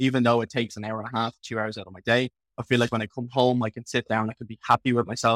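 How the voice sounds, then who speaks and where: A man with an Irish accent talks at a very fast pace in a medium pitch, his monotone, flat intonation paired with big swings in loudness and a dry, close sound with no echo. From Ireland. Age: 20s. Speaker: online fitness coach and bodybuilder. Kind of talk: casual interview chat.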